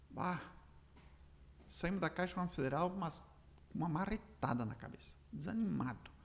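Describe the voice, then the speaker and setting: With vocal fry and lively intonation, a man speaks at a moderate pace and a fairly high pitch. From Rio Grande do Sul, Brazil (Três Passos region). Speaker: entrepreneur. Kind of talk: interview storytelling. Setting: studio. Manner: animated.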